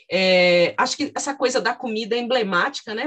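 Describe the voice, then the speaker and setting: Her voice is high-pitched, and this woman talks at a moderate pace with lively intonation. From interior of São Paulo state. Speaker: podcast host and psychology professor. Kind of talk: interview.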